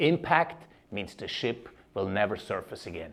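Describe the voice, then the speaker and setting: A man with a Swiss German accent and very wide pitch swings at a moderate pace, against a quiet background. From Switzerland (German-speaking). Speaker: leadership keynote speaker. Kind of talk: keynote speech.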